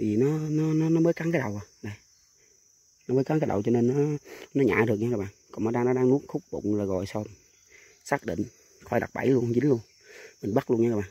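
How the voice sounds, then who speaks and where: A man at a very fast pace, dark and mellow in tone, with ordinary pitch variation and a dry sound with no echo. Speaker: snake trapper vlogger. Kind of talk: casual vlog chat. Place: open country. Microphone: phone near.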